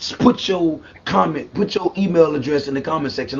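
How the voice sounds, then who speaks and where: A somewhat breathy man at a fairly quick pace, with lively intonation. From US South, South Carolina. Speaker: singer, formerly homeless. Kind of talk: interview.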